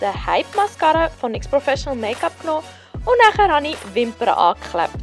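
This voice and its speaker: A woman's high-pitched voice with very wide pitch swings, at a fairly quick pace over music in the background. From Switzerland. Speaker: makeup artist. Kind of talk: makeup tutorial voiceover.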